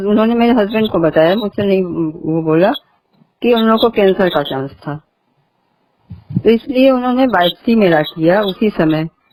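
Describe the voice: A woman has a dark, mellow tone. She speaks at a moderate pace.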